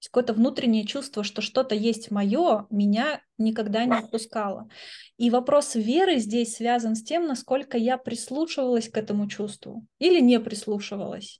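A woman speaks at a moderate pace in a dark, mellow tone, her pitch fairly high and its variation ordinary, over a quiet background. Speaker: educational coach and philosophy lecturer. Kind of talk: interview.

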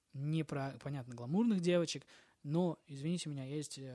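One man speaks at a moderate pace with a fairly high pitch and ordinary pitch variation. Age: 20s. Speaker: rapper. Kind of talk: casual chat. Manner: animated. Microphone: cheap lavalier mic.

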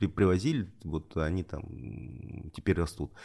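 Very deep and low, this man's voice carries lively intonation. His pace is very slow. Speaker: podcast guest, regional journalist and editor. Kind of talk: interview, casual conversation. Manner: hesitant, filler words, repeats.

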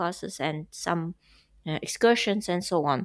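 This woman has a Russian accent and a medium pitch. She talks at a moderate pace with ordinary pitch variation. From Uzbekistan, later Russia. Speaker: language teacher. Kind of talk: casual chat.

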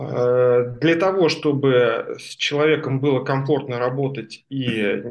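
A man with a fairly high pitch, an unremarkable speaking voice and ordinary pitch variation. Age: 40s. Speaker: stair craftsman. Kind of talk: book club discussion.

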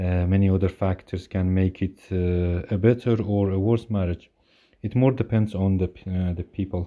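Against a quiet background, a man speaks at a moderate pace in a very deep, low voice with a dark, mellow tone. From Iran (Kurdish). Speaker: guest, husband of a host. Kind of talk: prepared recorded monologue.

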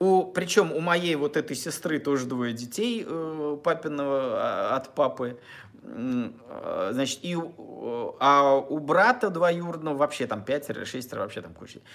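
A man with a fairly high pitch talks at a very slow pace. His intonation is lively, and his loudness swings widely. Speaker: relationship blogger. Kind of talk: monologue to camera. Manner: halting.

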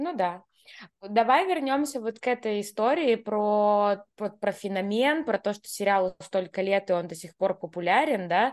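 A woman speaks at a fairly slow pace in an ordinary speaking voice, with lively intonation, a medium pitch and a quiet background. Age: 30s. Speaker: podcast co-host. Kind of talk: casual chat.

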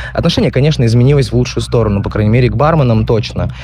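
A man races through his words at a very fast pace while music plays in the background. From Khabarovsk, Russian Far East. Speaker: bartender. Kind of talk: recorded answers to interview questions. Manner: hesitant, filler-heavy.

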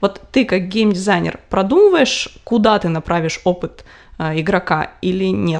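A normal speaking voice with ordinary pitch variation at a fairly slow pace. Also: woman, medium pitch for a woman. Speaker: podcast co-host. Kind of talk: casual chat.

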